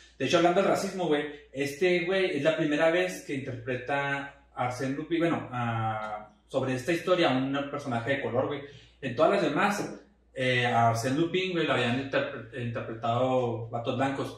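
A man at a fairly high pitch with ordinary pitch variation and a moderate pace, amid noticeable background noise and audible room echo. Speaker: podcast host. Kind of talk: casual chat.

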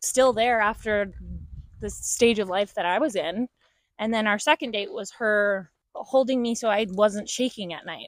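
On a very clean recording with a silent background, a woman with a fairly high pitch talks fairly slowly in an unremarkable speaking voice. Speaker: interviewee. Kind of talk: casual chat.

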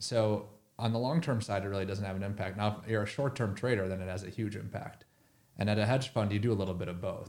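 A man with an unremarkable speaking voice talks at a fairly quick pace, his pitch fairly low with ordinary variation. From Minnesota. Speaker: hedge fund researcher. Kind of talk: casual interview.

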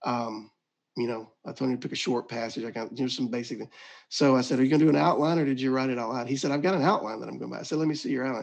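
In a Southern US accent, the speaker goes at a very fast pace with ordinary pitch variation. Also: man, medium pitch for a man. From Mississippi. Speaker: ministry director. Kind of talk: casual interview. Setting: video call.

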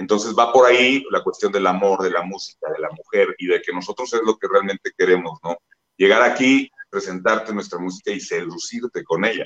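Fairly quick speech from a man, in a dry, close sound with no echo. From Mexico, Guanajuato. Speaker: rock musician. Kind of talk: interview.

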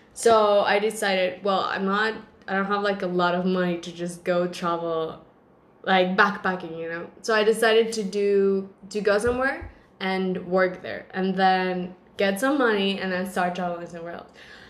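Someone with a Spanish accent talks at a moderate pace with fairly even intonation. The loudness swings a lot. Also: woman, medium pitch for a woman. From Mexico, San Luis Potosí. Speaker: podcast host. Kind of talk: casual chat.

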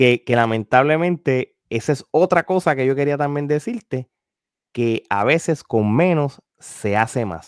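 A man at a fairly slow pace, fairly high in pitch with lively intonation, the sound dry and close with no echo and a very clean, silent background. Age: 40s. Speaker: wrestling media commentator. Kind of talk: casual chat. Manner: halting, repeats words.

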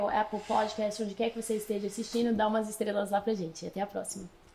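Noticeable background noise can be heard as a woman talks at a fairly high pitch. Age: 20s. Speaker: podcast host and missions school leader. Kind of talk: casual interview.

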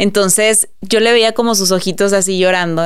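The woman has a normal speaking voice and fairly even intonation. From Mexico, Monterrey. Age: 30s. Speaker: entrepreneur and influencer. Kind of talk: casual interview chat.

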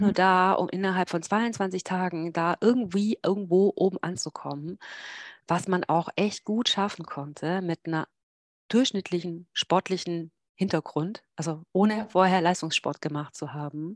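Here a woman speaks in a plain, everyday voice at a moderate pace, medium in pitch with ordinary pitch variation. The sound is dry and close with no echo, over a quiet background. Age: 40s. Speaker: long-distance cyclist and blogger. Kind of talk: casual interview. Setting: video call from home office.

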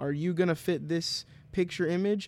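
A man talks with fairly even intonation. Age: 20s. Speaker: fill-in co-host. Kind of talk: casual chat.

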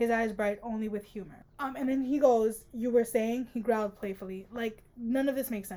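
What you hear is an unforced reading voice.

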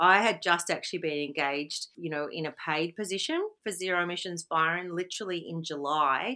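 A woman's fairly low voice in an Australian accent, bright and sharp in tone, with ordinary pitch variation, on a very clean recording with a silent background. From Victoria, Australia. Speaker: environmental activist. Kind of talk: interview.

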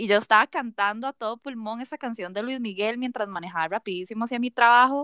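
A woman with a Costa Rican accent speaks at a fairly quick pace, her fairly high voice bright and sharp with lively intonation, in a dry, close, very clean recording with a silent background. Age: 30s. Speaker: podcast co-host. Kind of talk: casual chat.

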